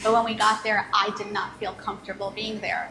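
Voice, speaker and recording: Against noticeable background noise, a woman with a New York accent talks at a fairly quick pace in a fairly high pitch. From New York City. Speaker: business owner. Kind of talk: interview. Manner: conversational.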